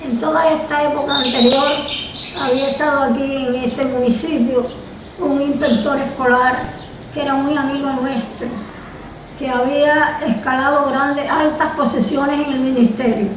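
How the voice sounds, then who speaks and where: A high-pitched woman speaks in a monotone, flat intonation amid noticeable background noise. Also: fairly slow pace. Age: 80s+. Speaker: retired teacher. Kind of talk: interview answer.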